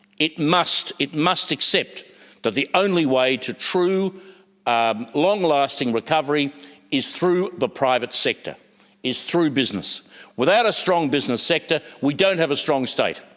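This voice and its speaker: A man speaks at a fairly high pitch with lively intonation. His pace is moderate and his loudness very even. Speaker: politician. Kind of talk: parliamentary speech. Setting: parliament chamber. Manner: halting; impassioned.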